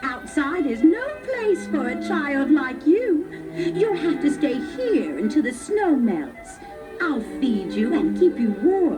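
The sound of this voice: A put-on character voice moves slowly, with big pitch swings and long, frequent pauses. Clear music plays in the background. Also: woman, high pitch for a woman.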